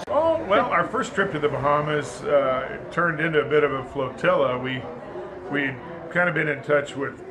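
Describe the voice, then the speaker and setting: A man with an American accent talks at a moderate pace and a fairly high pitch. There is audible room echo and noticeable background noise. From Kansas. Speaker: sailboat owner. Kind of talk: interview.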